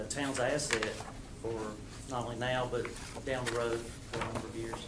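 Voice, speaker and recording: A man speaks at a medium pitch with an Appalachian accent. Room echo is audible around him. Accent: local Appalachian hillbilly. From Southwest Virginia (Russell County). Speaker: water utility contractor manager. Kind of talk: council meeting introduction. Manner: halting, many fillers.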